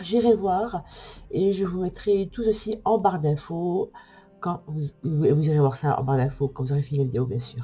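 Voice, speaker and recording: A woman with a very deep, low pitch talks at a moderate speed. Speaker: fortune teller and oracle card reviewer. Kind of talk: product review. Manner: hesitant, many fillers.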